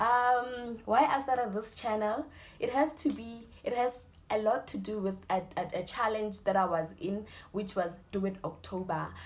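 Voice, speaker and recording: Speaking at a fairly slow pace in a South African accent, a woman uses a fairly high pitch with ordinary pitch variation. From South Africa, Limpopo. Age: 20s. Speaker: student youtuber. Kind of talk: casual Q&A interview.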